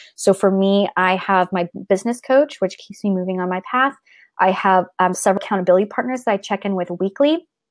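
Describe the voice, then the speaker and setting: On a very clean recording with a silent background and a dry, close sound with no echo, a woman talks at a fairly quick pace, at medium pitch, with ordinary pitch variation. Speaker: artist and creativity coach. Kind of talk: live stream Q&A. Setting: live video stream. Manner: fast; animated.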